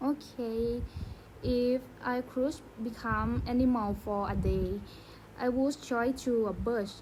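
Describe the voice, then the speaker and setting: A woman with a Thai accent, fairly high in pitch, monotone and flat, at a very slow pace with long, frequent pauses and very even loudness. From Thailand. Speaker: student. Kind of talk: casual chat. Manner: soft-spoken.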